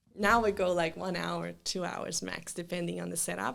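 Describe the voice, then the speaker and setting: At a moderate pace, a woman speaks with a Brazilian accent. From southern Brazil. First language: Portuguese. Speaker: children's event planner. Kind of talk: casual interview chat. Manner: hesitant, many fillers and restarts.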